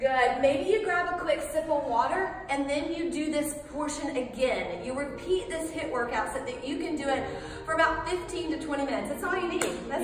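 A woman speaks at a moderate pace in a high pitch with ordinary pitch variation. Audible room echo and light background noise surround her voice. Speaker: fitness instructor. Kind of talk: workout instruction. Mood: calm, encouraging. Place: gym.

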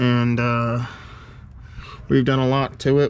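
A man speaks in a monotone with flat intonation. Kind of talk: casual vlog chat. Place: garage. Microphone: phone near.

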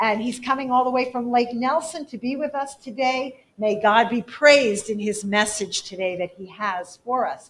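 Speaking at a moderate pace with hardly any pauses, a woman uses a high pitch with ordinary pitch variation. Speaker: church service leader. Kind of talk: church announcements and prayer. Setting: church. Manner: warm, casual. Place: church. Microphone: podium.

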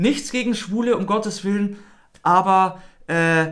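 Here a man speaks at a fairly slow pace with a high pitch. His tone is fairly bright and his pitch varies in an ordinary way.

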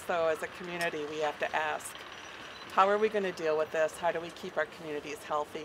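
A woman with an American accent talks at a fairly quick pace and a fairly low pitch. Noticeable background noise runs under her voice. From Minnesota. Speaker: peace activist, sailing crew member; speaker. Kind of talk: public speech. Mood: earnest, concerned. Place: waterside. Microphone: podium.

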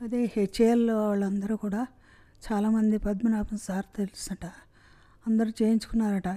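A woman speaks at fairly high pitch with a dark, mellow tone. Her intonation is monotone and flat against a quiet background. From Hyderabad. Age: 60s. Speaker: heart surgery patient. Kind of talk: patient testimonial. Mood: grateful, warm. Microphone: handheld.

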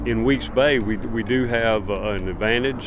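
A dry sound with no echo comes through over noticeable background noise. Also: man. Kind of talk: interview answer. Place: waterside.

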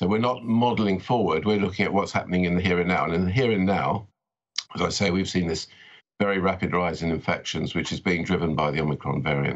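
A man with a British accent, very deep and low in pitch, very fast, with very even loudness over a quiet background. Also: ordinary pitch variation. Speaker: epidemiology professor. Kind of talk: interview. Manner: halting, repeats words. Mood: calm, measured. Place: home room. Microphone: webcam.

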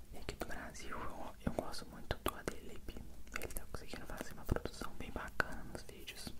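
This man goes along fairly slowly. His speech is a whisper. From Brazil. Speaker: ASMR content creator. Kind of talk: ASMR Q&A answering viewer questions. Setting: binaural microphone recording. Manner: whispered. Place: home room. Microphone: handheld.

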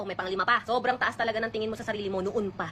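A woman at a very fast pace, fairly high in pitch, fairly even in intonation, over noticeable background noise. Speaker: vlogger. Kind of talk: personal storytelling. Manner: stutter.

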